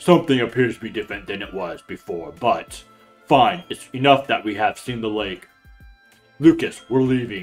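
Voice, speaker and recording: Over faint background music, a put-on character voice moves at a moderate pace with lively intonation and big swings in loudness. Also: man, medium pitch for a man. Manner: scholarly, measured.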